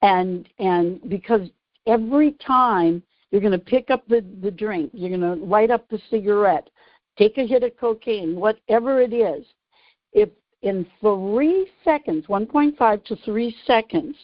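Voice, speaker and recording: A woman's normal speaking voice, fairly high in pitch, with lively intonation and a fairly slow pace. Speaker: radio show host, author and behavioral neuroscience strategist. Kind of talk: radio show explanation of her book.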